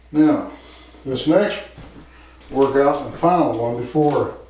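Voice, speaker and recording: A man at a very slow pace, fairly high in pitch with fairly even intonation, over noticeable background noise and audible room echo. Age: 60s. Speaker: fitness instructor. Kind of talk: tutorial. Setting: home gym.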